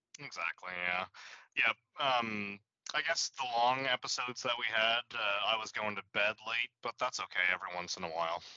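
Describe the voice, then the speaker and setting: This man has an ordinary speaking voice, medium in pitch with ordinary pitch variation. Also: moderate pace. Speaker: podcast host, guest. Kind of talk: casual chat.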